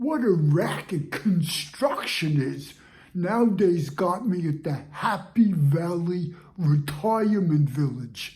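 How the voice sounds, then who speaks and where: Putting on a character voice, a man talks at a fairly slow pace, high-pitched, with lively intonation. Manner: casual, chatty.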